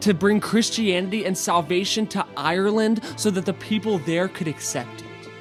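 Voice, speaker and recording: Music playing behind speech delivered at a moderate pace. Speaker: church speaker / spoken word performer. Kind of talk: spoken word poem delivered at a church Easter service.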